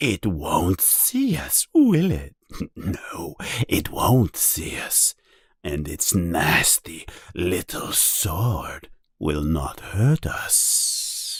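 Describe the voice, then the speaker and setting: A man's hissing, put-on character voice at medium pitch and a very slow pace. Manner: creepy, gloating.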